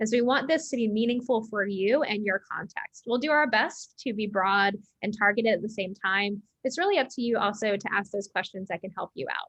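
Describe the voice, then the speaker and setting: A woman speaks with an American accent in a plain, everyday voice. Her fairly high pitch shows ordinary variation, and her pace is fairly quick. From United States. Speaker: education company CEO, former science teacher. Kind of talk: webinar hosting. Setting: online webinar.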